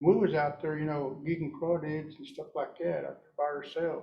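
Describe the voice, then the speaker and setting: There is audible room echo as a man speaks in a somewhat breathy voice with fairly even intonation. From Oklahoma, rural Cherokee community. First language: Cherokee. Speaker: Cherokee language speaker. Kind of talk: talk to audience. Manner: halting, many fillers.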